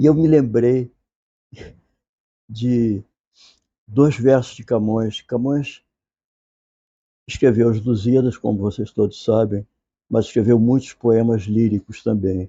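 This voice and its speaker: A man's medium-pitched voice, very slow, with long, frequent pauses and fairly even intonation. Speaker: literature professor. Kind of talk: lecture. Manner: soft-spoken; informal, conversational.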